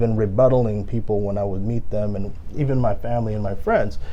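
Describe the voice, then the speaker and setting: Amid noticeable background noise and audible room echo, a man with a Filipino accent speaks at a fairly quick pace with ordinary pitch variation. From Philippines, then Brooklyn, New York. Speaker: lawyer and former rapper. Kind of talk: interview. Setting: podcast.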